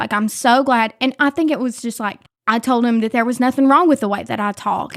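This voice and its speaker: A woman speaks with an Appalachian accent at a fairly quick pace, her pitch high. The recording is very clean with a silent background and a dry, close sound with no echo. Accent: Appalachian, moderate. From West Virginia, Mingo County (Williamson). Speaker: content creator and labor activist. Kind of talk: casual chat.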